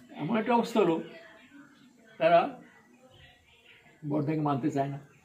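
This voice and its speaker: Against noticeable background noise, a man with a fairly high pitch speaks with very wide pitch swings. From Bangladesh. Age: 80s+. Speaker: Satsang priest (ritwik). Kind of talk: interview answer, spiritual reminiscence.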